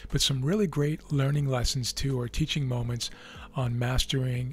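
A somewhat breathy man at a moderate pace, with fairly even intonation and a dry sound with no echo. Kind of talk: commentary. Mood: relaxed.

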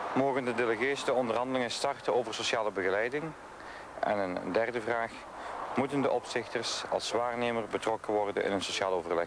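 The speech moves at a fairly quick pace with ordinary pitch variation and very even loudness, over noticeable background noise. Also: man, medium pitch for a man. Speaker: news reporter. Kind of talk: 1989 TV news reporting, scripted voice-over. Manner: formal, measured.

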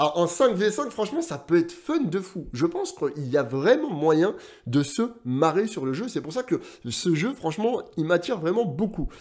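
At a moderate pace, a man speaks at a high pitch with very wide pitch swings over a quiet background. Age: 30s. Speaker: gaming YouTuber. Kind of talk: casual video commentary. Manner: animated. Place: home room.

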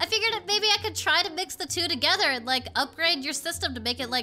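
A woman uses a cartoonish character voice with an extremely high pitch, a bright, sharp tone and a fast pace. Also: ordinary pitch variation.

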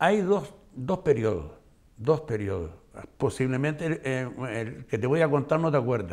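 Against a quiet background, a man with vocal fry speaks at a fairly slow pace, his pitch swinging very widely between long, frequent pauses. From Canary Islands, Gran Canaria (La Aldea de San Nicolás); Canary Islands. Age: old. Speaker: retired schoolteacher. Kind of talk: interview. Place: studio.

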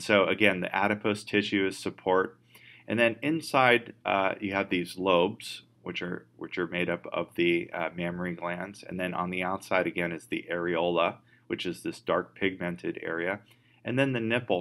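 Bright and sharp in tone, a man speaks at a very deep, low pitch. His pace is moderate, with ordinary pitch variation. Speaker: instructor. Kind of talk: lecture. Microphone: webcam.

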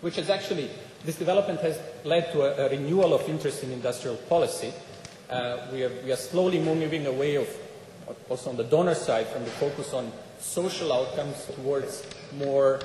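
Audible room echo and light background noise surround a man speaking at a fairly quick pace. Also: ordinary pitch variation. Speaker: speaker. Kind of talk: conference talk. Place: hall. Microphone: podium.

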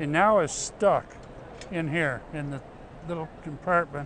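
Light background noise sits behind a man who speaks at a fairly slow pace. The sound is dry, with no echo. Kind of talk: demonstration explanation. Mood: cheerful, amused. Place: hall. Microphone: lapel.

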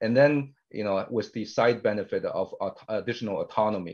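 The man's delivery moves fairly quickly, with a quiet background behind him. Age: 50s. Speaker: tech company CEO and co-founder. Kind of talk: interview. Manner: frequent filler hesitations. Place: home room. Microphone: webcam.

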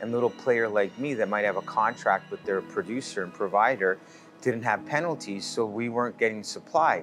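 With clear music in the background, a man talks at a fairly low pitch with ordinary pitch variation. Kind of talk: interview answer. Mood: earnest, concerned about business. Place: bar.

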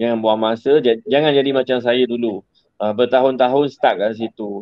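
In a dry sound with no echo and a quiet background, a man talks at a moderate pace with fairly even intonation. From Negeri Sembilan, Malaysia. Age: 40s. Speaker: gadget business owner; guest. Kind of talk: online interview. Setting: in his office. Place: office. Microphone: video call.

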